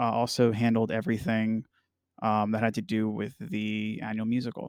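Recorded very cleanly against a silent background, with a dry, close sound and no echo, a man in a normal speaking voice talks at a moderate pace and medium pitch. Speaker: touring musician and podcast host. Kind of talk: casual chat.

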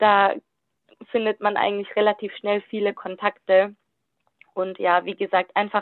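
Speaking at a fairly slow pace, a woman holds a medium pitch. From Germany, Württemberg. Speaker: youth work volunteer. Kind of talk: interview.

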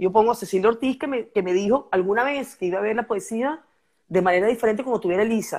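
On a very clean recording with a silent background, a woman talks at a very fast pace, her pitch fairly high with ordinary variation. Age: 50s. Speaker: poet. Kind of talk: casual chat.

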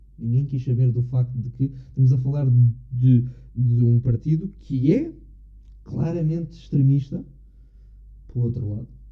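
Speech comes at a fairly slow pace with long, frequent pauses. The tone is dark and mellow, somewhat breathy, with fairly even intonation. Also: man, medium pitch for a man. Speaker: podcast host. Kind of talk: casual chat.

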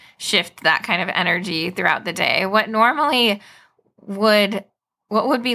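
Lively intonation runs through a plain, everyday voice that holds a moderate pace. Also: woman. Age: 30s. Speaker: speech-language pathologist. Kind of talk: educational interview.

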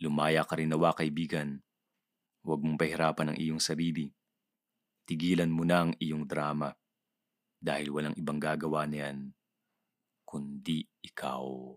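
A man with a very deep, low voice talks calmly and fairly slowly in a flat monotone. Long, frequent pauses break up his speech, and the sound is dry and close with no echo. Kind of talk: audiobook reading of a reflective spoken-word piece. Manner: hushed, meditative, calm and tender, with pauses.

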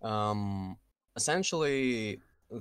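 A man with a Russian accent speaks very slowly at a fairly low pitch. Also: very clean recording, silent background. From Kazakhstan. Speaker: game mod team lead. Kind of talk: casual interview chat.

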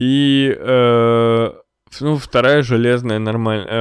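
Keeping a monotone, flat intonation, a man talks at a medium pitch. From Russia, Chelyabinsk (Urals). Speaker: podcaster. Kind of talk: casual monologue. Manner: hesitant, many fillers.

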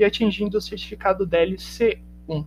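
His pitch moves up and down in an ordinary way. This is a man with a high voice. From Brazil, São Paulo interior (Brodowski area). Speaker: English teacher. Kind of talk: autobiographical narration.

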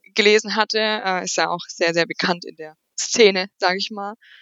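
Medium in pitch, a woman speaks with fairly even intonation. Her pace is fairly slow. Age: 20s. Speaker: side business coach. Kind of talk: interview.

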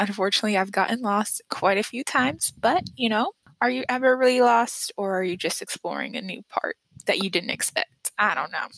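A woman speaks at a medium pitch with ordinary pitch variation in an ordinary speaking voice, recorded with a dry, close sound and no echo. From US, moved among several states, mostly Texas. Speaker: podcast host, HR graduate student. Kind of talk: casual solo podcast talk.

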